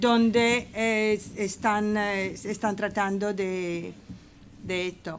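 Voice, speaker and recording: The intonation is flat and monotone. The pace is very slow. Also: woman, medium pitch for a woman. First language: English (speaking Spanish). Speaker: residents' association representative. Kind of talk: parliamentary committee hearing. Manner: halting, many fillers.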